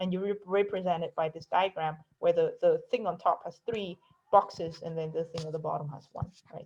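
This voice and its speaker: This woman's voice sits at a medium pitch. It is somewhat breathy. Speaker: math professor. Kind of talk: lecture. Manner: fast.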